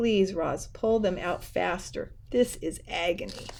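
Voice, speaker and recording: Someone puts on a character voice at a middle pitch and a fairly slow pace. Clear background noise sits behind it. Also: female-sounding voice. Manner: pleading, through gritted teeth.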